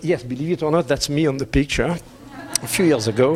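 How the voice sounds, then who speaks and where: Noticeable background noise accompanies a man with a French accent who speaks at a fairly high pitch with lively intonation. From France. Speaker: business executive. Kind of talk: conference presentation.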